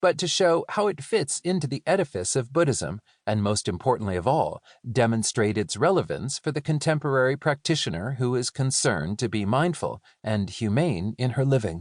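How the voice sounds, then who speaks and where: A man talks at a moderate pace with vocal fry and very wide pitch swings. The sound is dry and close with no echo, over a quiet background. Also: medium pitch for a man. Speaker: audiobook narrator. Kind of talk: audiobook reading of nonfiction.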